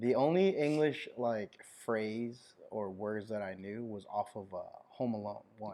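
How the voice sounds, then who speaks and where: Fairly low and dark, mellow in tone, a man's voice moves at a fairly slow pace with ordinary pitch variation. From Hawaii, born in Kosrae, Micronesia. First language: Kosraean. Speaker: clothing brand founder. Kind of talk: casual chat.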